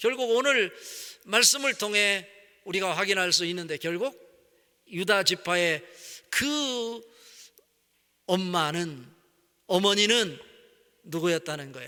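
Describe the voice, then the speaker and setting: A man's high, bright, sharp voice, raised and projected, very slow with long, frequent pauses and lively intonation. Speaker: pastor. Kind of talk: sermon.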